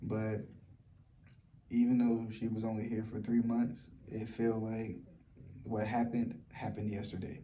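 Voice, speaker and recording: A soft-spoken man talks at a moderate pace with a dark, mellow tone and monotone, flat intonation. Long, frequent pauses fill the speech, and the room echo is audible. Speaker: vlogger. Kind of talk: personal testimony vlog. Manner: soft-spoken, talking low; halting, many fillers and repetitions.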